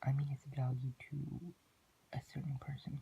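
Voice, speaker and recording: Somewhat breathy and at a medium pitch, a man speaks with monotone, flat intonation. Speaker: student. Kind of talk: class presentation narration.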